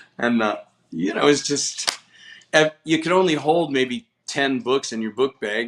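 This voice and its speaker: A man with an American accent and a normal speaking voice talks at a fairly slow pace in a fairly high pitch, his intonation lively and the sound dry and close with no echo. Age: 60s. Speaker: book distributor. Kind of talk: podcast interview.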